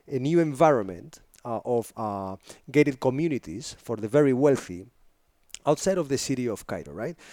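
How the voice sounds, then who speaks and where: In a Spanish accent, a man speaks at a medium pitch with lively intonation. The sound is dry and close, with no echo. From northern Spain. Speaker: filmmaker and photographer. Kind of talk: interview conversation. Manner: enthusiastic, polite.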